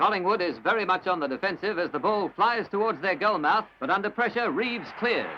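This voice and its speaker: Over noticeable background noise, a man with a high pitch uses a raised, projected voice at a fairly quick pace, with ordinary pitch variation and hardly any pauses. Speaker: newsreel sports commentator. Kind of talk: newsreel sports commentary. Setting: old archival recording.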